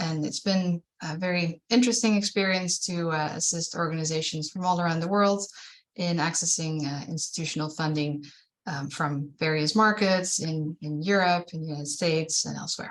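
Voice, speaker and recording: The speaker has a Dutch accent and a fairly even intonation. The pace is moderate. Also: woman, fairly low pitch for a woman. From Netherlands. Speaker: fundraising consultant. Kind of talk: webinar presentation.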